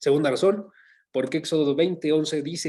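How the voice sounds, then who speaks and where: Against a quiet background, a man speaks in a dark, mellow tone that sits fairly high in pitch, with fairly even intonation. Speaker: Bible teacher. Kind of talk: Bible study lecture.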